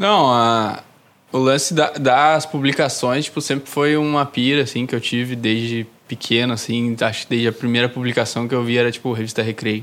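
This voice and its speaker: A man's medium-pitched voice keeps a fairly even intonation. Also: moderate pace. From southern Brazil, Novo Hamburgo (Rio Grande do Sul). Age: 20s. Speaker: newsletter zine creator. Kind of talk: casual interview chat.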